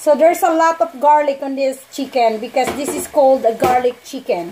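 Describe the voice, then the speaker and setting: A woman speaks at a fairly quick pace in a high voice, with a non-native accent. Her pitch varies in an ordinary way, and there is noticeable background noise. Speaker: home cook vlogger. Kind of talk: cooking tutorial. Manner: casual, conversational.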